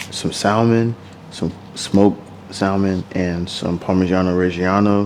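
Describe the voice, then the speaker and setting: A man speaks quietly at a fairly slow pace in a very deep, low, monotone voice, with noticeable background noise behind him. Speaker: lifestyle vlogger. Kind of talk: casual vlog talk to camera. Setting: at home at night. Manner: quiet, close to the mic.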